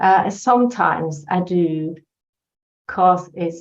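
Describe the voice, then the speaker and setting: A woman with a Norwegian accent and a fairly low voice. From Norway. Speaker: life coach. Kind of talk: personal testimony in interview. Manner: halting.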